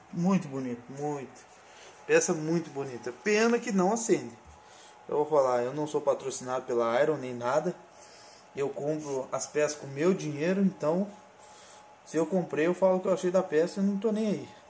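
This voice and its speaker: Enthusiastic in tone, a man with a fairly high pitch and lively intonation keeps a moderate pace broken by long, frequent pauses. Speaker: collectibles YouTuber. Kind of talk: product review. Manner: casual, enthusiastic.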